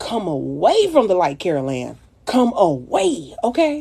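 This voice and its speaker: Speaking with a Louisiana accent, a woman sounds animated. Her medium pitch makes very wide swings. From US South. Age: 30s. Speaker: makeup influencer. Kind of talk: casual livestream chat with makeup tutorial. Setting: livestream.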